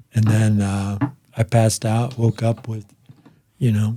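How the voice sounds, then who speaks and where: A man with an American accent speaks at a fairly slow pace and medium pitch, somewhat breathy, with a dark, mellow tone. His intonation is monotone and flat, in a dry, close sound with no echo. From Boulder, Colorado. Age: 60s. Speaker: stand-up comedian. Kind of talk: casual chat.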